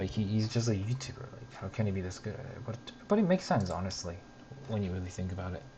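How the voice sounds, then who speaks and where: A man talks at a very fast pace, fairly low in pitch with ordinary pitch variation and big swings in loudness, amid audible room echo and noticeable background noise. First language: not English. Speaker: streamer reacting to a web series. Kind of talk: casual commentary over video. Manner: hesitant, many fillers and restarts. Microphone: bad audio quality, cheap mic.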